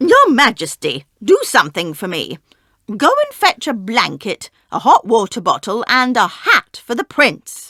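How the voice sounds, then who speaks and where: In a very clean recording with a silent background, a female-sounding voice takes on a put-on character voice at a fairly high pitch and a moderate pace. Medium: read story. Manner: sly, scheming.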